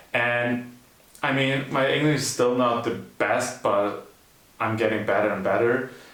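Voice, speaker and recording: Over noticeable background noise and audible room echo, a man of medium pitch speaks at a fairly slow pace with fairly even intonation and very even loudness. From Germany. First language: German. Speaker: YouTuber in couple channel. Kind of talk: casual chat.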